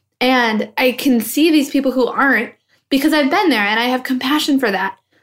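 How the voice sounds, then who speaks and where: A woman talks with ordinary pitch variation. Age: 20s. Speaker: podcast host. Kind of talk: solo podcast monologue.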